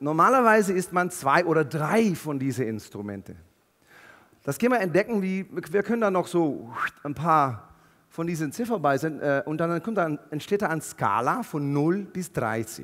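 A man at a fairly high pitch and a moderate pace, with very wide pitch swings over a quiet background. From Netherlands. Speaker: keynote speaker. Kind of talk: motivational keynote talk. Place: stage. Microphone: headset.

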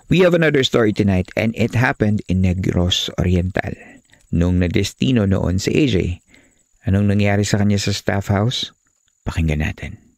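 Dry and close with no echo, a man's fairly low, plain, everyday voice moves at a moderate pace with ordinary pitch variation. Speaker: podcast host and narrator. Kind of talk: horror story narration read aloud, with host intros and comments. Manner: hushed, measured, suspenseful.

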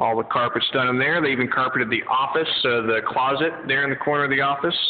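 A man talks at a very fast pace, his loudness very even and his intonation fairly even. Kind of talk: casual walk-through tour. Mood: pleased. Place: hall. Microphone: phone near.

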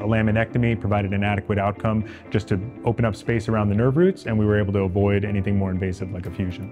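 A man speaks fairly quickly over clear music in the background. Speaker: orthopedic spine surgeon. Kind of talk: medical explanation interview. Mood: calm, explanatory. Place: hall.

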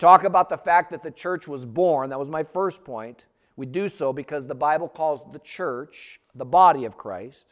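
A man's fairly high voice at a moderate pace, with hardly any pauses, big swings in loudness, an animated tone and ordinary pitch variation over a quiet background. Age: 50s. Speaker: pastor. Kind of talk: sermon. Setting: church. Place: church.

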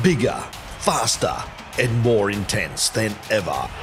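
Music sits in the background. Over it, a man talks at a very slow pace. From Australia. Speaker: voice actor. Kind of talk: sports promotion commercial read.

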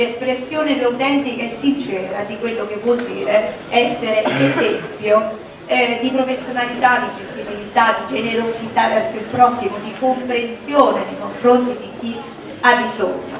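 A woman talks at a moderate speed, with noticeable background noise and audible room echo around her. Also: fairly even intonation. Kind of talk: formal welcome speech. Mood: warm, celebratory. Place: stage.

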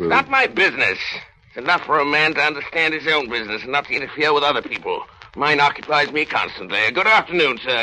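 A man puts on a gruff character voice with a fairly high pitch. He talks very fast with lively intonation. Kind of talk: 1930s radio drama acting. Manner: gruff, scornful, barking.

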